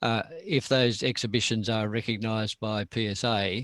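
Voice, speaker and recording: In an Australian accent, a man speaks at a moderate pace and a fairly low pitch with monotone, flat intonation, in a dry, close sound with no echo. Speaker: nature photographer and club speaker. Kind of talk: presentation to a camera club. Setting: video call. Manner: hesitant, many fillers.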